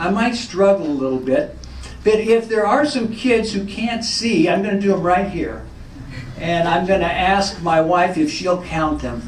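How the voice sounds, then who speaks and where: With an American accent, a man speaks at a moderate pace in a high pitch with ordinary pitch variation, amid audible room echo and noticeable background noise. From Northern California. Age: 60s. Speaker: former college football player. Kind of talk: pre-game speech.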